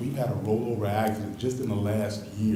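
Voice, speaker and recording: A man talks at a moderate pace and medium pitch with fairly even intonation. The room echo is audible, and there is noticeable background noise. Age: 60s. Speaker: resident speaking at public comment. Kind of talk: public comment. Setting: city council meeting.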